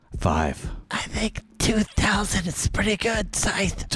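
Putting on a raspy character voice, a man speaks at a high pitch and a very slow pace. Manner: chummy, pushy, scheming.

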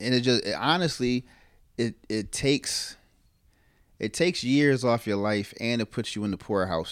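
A man speaks at a fairly quick pace with lively intonation. His is an unremarkable speaking voice. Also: very clean recording, silent background. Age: 30s. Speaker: podcast host, cook. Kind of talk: casual chat.

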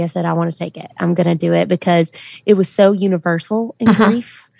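A woman with a Southern US accent, fairly low in pitch and dark and mellow in tone, at a fairly quick pace, in a dry, close sound with no echo and a very clean recording with a silent background. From US South, Memphis, Tennessee. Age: 20s. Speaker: country singer. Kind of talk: interview.

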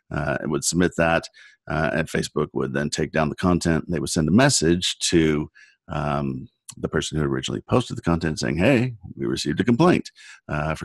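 A man with a Californian accent, very deep and low-pitched, with vocal fry, a fairly quick pace, and a dry, close sound with no echo. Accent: Californian American. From US West Coast, San Diego. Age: 50s. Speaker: internet lawyer. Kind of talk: interview conversation.

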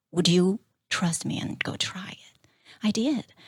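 With a Chinese accent, a woman speaks in a somewhat breathy, dark, mellow voice of medium pitch and ordinary pitch variation, the sound dry and close with no echo. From China. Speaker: small business owner. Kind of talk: interview.

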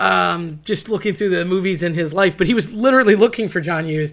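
Speech at a fairly quick pace comes through on a very clean recording with a silent background. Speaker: podcast host. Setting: studio. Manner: fast talker; talking very fast in this episode.

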